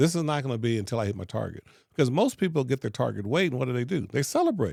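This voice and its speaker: Recorded very cleanly over a silent background, a man speaks very fast at a medium pitch with lively intonation and vocal fry. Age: 60s. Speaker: pain management doctor. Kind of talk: interview.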